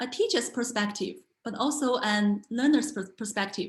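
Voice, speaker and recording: Speaking with a Chinese accent, a woman shows ordinary pitch variation. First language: Mandarin Chinese. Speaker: language teacher and entrepreneur. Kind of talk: online talk. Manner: halting, many fillers and repetitions.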